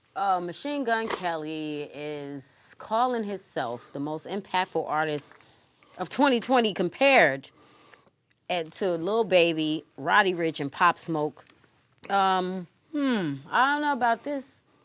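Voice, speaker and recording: Speaking at a very slow pace, a woman uses a medium pitch with very wide pitch swings. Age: 30s. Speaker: talk show co-host. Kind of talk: casual chat.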